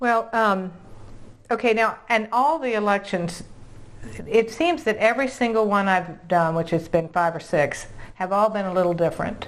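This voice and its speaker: In a normal speaking voice with an American accent, a woman speaks at a moderate pace and medium pitch, her intonation lively. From Virginia. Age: 60s. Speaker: realtor and video host. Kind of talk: interview.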